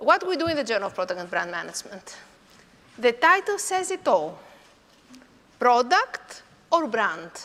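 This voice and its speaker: Over noticeable background noise, a woman speaks at a moderate pace, her pitch swinging very widely. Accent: Greek. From Greece. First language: Greek. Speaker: professor. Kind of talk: conference talk. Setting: conference hall with audience.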